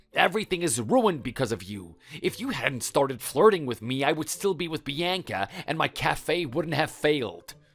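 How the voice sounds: Putting on a character voice, a man speaks at a moderate pace with few pauses, his fairly high pitch making big swings and his tone fairly bright.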